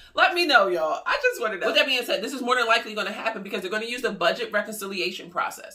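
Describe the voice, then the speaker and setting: The speech comes at a very fast pace with hardly any pauses. Its tone is animated, and there is noticeable background noise. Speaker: YouTuber covering stimulus news. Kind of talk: casual news commentary vlog.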